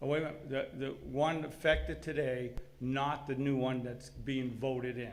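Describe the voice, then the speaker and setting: Amid noticeable background noise and audible room echo, a man with a medium pitch speaks at a moderate pace with fairly even intonation. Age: 60s. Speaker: business owner addressing city board. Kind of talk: public comment at meeting.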